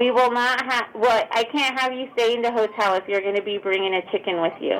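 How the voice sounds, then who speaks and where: A woman with an unremarkable speaking voice talks at a fairly quick pace, with a fairly high pitch and fairly even intonation. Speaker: hotel front desk clerk. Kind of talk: prank call, customer service.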